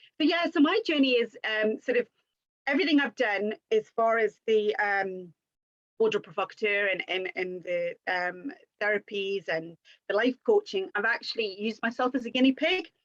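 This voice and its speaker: With a Geordie accent, a woman at fairly high pitch speaks with lively intonation in a dry, close sound with no echo. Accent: North East English (Geordie-type). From North East England. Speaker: image consultant and life coach. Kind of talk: live-stream chat. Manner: fast.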